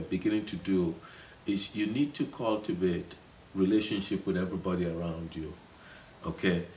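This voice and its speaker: A man with a Nigerian accent, very deep and low in pitch, at a moderate pace with ordinary pitch variation. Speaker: city councilman. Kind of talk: interview. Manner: halting, many repetitions.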